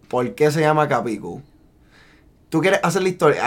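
Speaking with a Puerto Rican accent, a man uses ordinary pitch variation. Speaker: podcast co-host. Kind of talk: casual chat.

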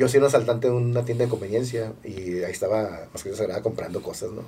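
A man with a medium pitch, ordinary pitch variation and a dark, mellow, somewhat breathy tone talks at a very fast pace. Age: 40s. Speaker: actor and stand-up comedian. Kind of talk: casual chat.

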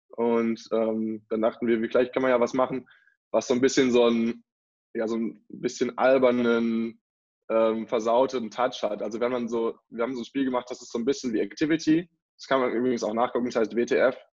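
A man at medium pitch and moderate pace, monotone and flat in intonation, with big swings in loudness. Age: 20s. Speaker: student entrepreneur, board game founder. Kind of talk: interview. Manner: hesitant, many filler sounds.

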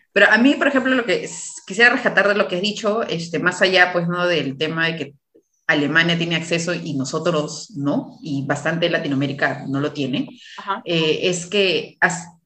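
Speaking at a fairly slow pace with lively intonation, a woman with a fairly low pitch is heard with audible room echo. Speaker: podcast host, obstetrician. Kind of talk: casual interview.

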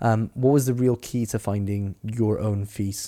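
On a very clean recording with a silent background, a man speaks at a fairly slow pace. His fairly low voice has a dark, mellow tone and fairly even intonation. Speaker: podcast host. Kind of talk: casual interview chat.

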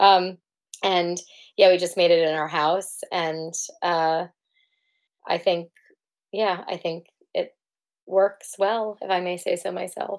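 A woman in a New York accent, fairly low-pitched and monotone with flat intonation, at a very slow pace with long, frequent pauses, on a very clean recording with a silent background. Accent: New York American. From US, New York City (Manhattan). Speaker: singer-songwriter and photographer. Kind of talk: casual interview chat. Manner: hesitant, many fillers.

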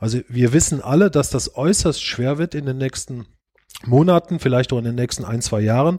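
On a very clean, dry, close recording with a silent background and no echo, a man speaks at a medium pitch with ordinary pitch variation. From Germany, Rhineland-Palatinate (Eifel region). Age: 50s. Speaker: bank chief executive. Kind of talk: podcast interview. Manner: hesitant, many filler sounds.

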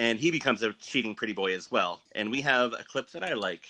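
A man talks at a moderate pace in a bright, sharp tone with ordinary pitch variation, the sound dry and close with no echo. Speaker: podcast co-host. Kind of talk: casual chat.

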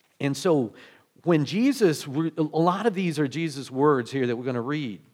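In an ordinary speaking voice, the speaker goes at a fairly quick pace with ordinary pitch variation. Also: man. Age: 50s. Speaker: pastor. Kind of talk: sermon. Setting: church.

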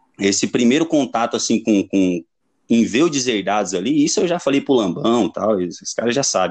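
In an ordinary speaking voice, a man at medium pitch talks at a moderate pace with lively intonation against a quiet background. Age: 30s. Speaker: punk band vocalist. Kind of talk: casual chat.

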